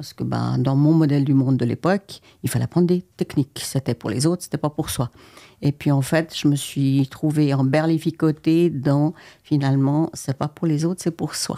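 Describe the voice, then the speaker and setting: A woman with a very deep, low pitch and a dark, mellow tone, moderate pace and fairly even intonation, against a quiet background. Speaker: physician; interview guest. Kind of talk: interview. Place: studio. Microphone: studio mic.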